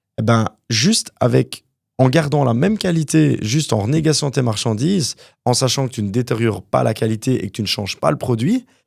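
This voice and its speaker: This man has an ordinary speaking voice with lively intonation and medium pitch, heard in a very clean recording with a silent background and a dry, close sound with no echo. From Quebec, Montreal (born in Wallonia, Belgium, moved at 9). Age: 30s. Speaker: property developer, entrepreneur. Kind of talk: interview conversation.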